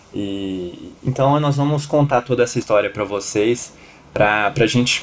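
A man talks at a fairly slow pace, and noticeable background noise can be heard. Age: 20s. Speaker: podcast host. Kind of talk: casual chat.

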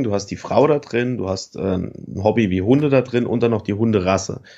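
A man's unremarkable speaking voice, fairly low in pitch, with ordinary pitch variation and a moderate pace. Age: 30s. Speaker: online t-shirt entrepreneur. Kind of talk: interview. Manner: relaxed conversational, frequent fillers.

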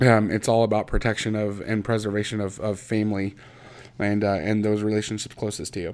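A man speaks in a Midwestern American accent at a fairly low pitch. His intonation is monotone and flat. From Indiana, US Midwest. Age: 30s. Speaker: podcast host. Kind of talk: personal monologue. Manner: halting, many fillers.

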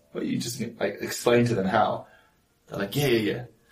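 Speaking at a moderate pace, a man talks with a New Zealand accent. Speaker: entrepreneur and father. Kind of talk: casual chat.

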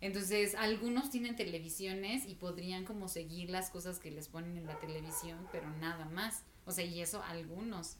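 A woman at medium pitch talks at a moderate pace with ordinary pitch variation and hardly any pauses. Audible room echo and noticeable background noise fill the recording. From Mexico, Estado de México. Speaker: podcast co-host. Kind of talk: casual chat.

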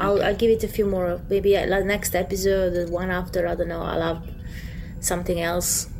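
A woman with a non-native accent and medium pitch, moderate pace, and monotone, flat intonation, over noticeable background noise. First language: not English. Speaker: podcast co-host. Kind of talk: casual chat.

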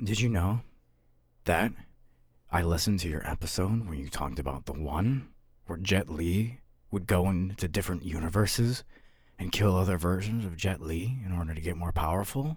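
A man with a very deep, low pitch speaks at a moderate pace, leaving long, frequent pauses. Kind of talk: comic improvised villain monologue. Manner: calm, menacing, theatrical.

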